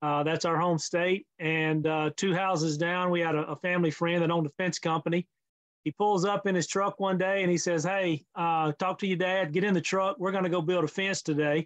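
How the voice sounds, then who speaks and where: In a dry, close recording with no echo, a man with a Mississippi accent talks at a fairly quick pace in a high voice, with fairly even intonation and very even loudness. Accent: Southern US (Mississippi). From US South, Mississippi. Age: 60s. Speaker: fencing industry consultant. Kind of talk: interview. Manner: hesitant, many fillers.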